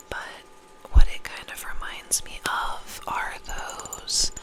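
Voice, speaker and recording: Someone whispers over noticeable background noise. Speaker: ASMR content creator. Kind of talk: ASMR whispered perfume review. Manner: whispered, soft.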